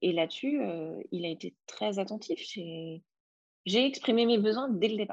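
A woman with a fairly high pitch and lively intonation speaks at a fairly slow pace, with long, frequent pauses. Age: 30s. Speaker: coaching client sharing her love life. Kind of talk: interview testimony. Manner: halting, many repetitions.

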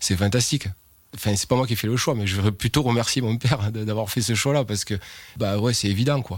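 Recorded very cleanly against a silent background, a man with a medium pitch and a somewhat breathy voice speaks fairly quickly. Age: 40s. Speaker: winegrower. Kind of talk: interview testimony. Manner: hesitant, many fillers.

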